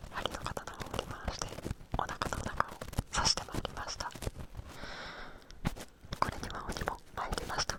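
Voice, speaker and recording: A man whispering at a moderate pace, with long, frequent pauses and noticeable background noise. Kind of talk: whispered storytelling reading of a folk tale with ear cleaning. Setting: binaural microphone, studio ASMR recording. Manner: whispered, close to the microphone.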